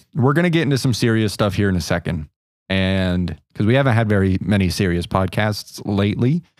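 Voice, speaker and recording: With a normal speaking voice, a man talks at a fairly quick pace with lively intonation and very even loudness. The recording is very clean, with a silent background. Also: fairly low pitch for a man. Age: 20s. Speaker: podcast co-host. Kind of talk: casual chat.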